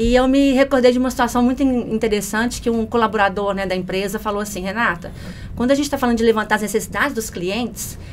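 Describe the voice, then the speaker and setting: Against noticeable background noise, a woman with a fairly high pitch talks at a very fast pace with fairly even intonation. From Minas Gerais, Brazil (Belo Horizonte). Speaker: customer service manager. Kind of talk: podcast interview.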